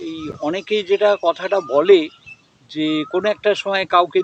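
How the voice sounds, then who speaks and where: A man speaks with a high pitch. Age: 70s. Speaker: bird watcher and nature observer. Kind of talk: interview answer.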